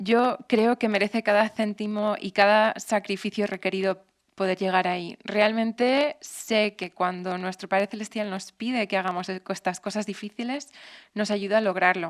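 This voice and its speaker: A woman speaks in an English accent at a moderate pace and a medium pitch. Her intonation stays fairly even, and the sound is dry and close with no echo. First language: English (speaking Spanish). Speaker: temple matron, missionary. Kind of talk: interview.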